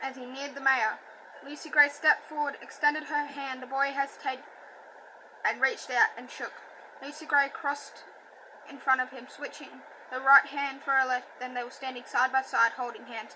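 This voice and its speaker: A woman's high, raised and projected voice at a fairly quick pace, with fairly even intonation, big swings in loudness, and long, frequent pauses. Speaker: audiobook reader. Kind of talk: reading aloud.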